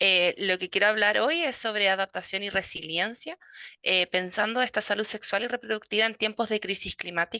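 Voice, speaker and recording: At a moderate pace and medium pitch, a woman speaks in a bright, sharp tone with a dry, close sound and no echo. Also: ordinary pitch variation. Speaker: midwife and university lecturer. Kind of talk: conference talk. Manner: hesitant, many fillers.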